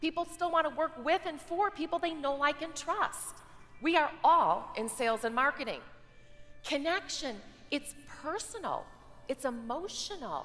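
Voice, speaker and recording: With faint music in the background, a woman with a high pitch talks at a moderate pace in an upbeat, energetic tone, her intonation lively and her pauses long and frequent. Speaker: keynote speaker. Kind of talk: keynote speech excerpts in a promo reel. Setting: live keynote on stage to an audience. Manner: upbeat, energetic, humorous. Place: stage. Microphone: headset.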